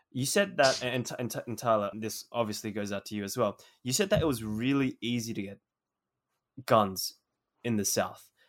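At a moderate pace, a man with an Australian accent talks at a medium pitch with ordinary pitch variation and long, frequent pauses. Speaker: podcast host, teacher. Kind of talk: interview chat. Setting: remote recording.

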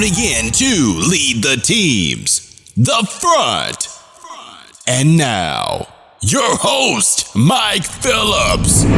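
At a very slow pace, a man performs a put-on character voice with a high pitch over faint music in the background. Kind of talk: booming announcer intro.

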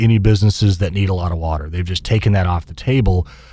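Somewhat breathy and with a dark, mellow tone, a man speaks in a Midwestern American accent. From Kansas (Wichita). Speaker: business association head. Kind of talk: interview.

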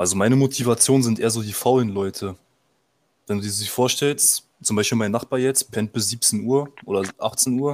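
This very clean recording with a silent background captures a man with an unremarkable speaking voice, talking at a moderate pace and medium pitch with ordinary pitch variation. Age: 20s. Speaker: fitness enthusiast. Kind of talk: casual chat.

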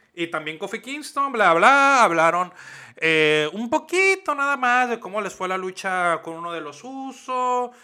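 In a raised, projected voice with a bright, sharp tone, a man swings very widely in pitch. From Mexico. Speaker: wrestling podcast co-host. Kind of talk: casual chat.

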